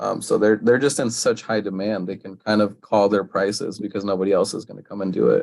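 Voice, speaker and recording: With a fairly low pitch and a monotone, flat delivery, a man rushes along at a very fast pace, hardly pausing, his loudness swinging widely. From Mexico. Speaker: youth sports coach and government worker. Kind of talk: casual podcast chat.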